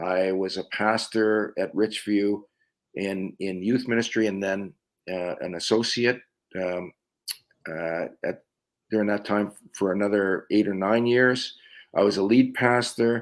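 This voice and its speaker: A man with a fairly low pitch, fairly even intonation, a fairly slow pace and long, frequent pauses. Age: 60s. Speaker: pastor and missionary. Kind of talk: interview.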